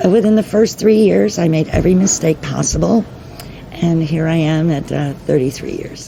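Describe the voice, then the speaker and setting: Over noticeable background noise, a woman with an American accent speaks in a fairly low pitch. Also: lively intonation, moderate pace. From New York. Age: 60s. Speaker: restaurant owner. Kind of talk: interview.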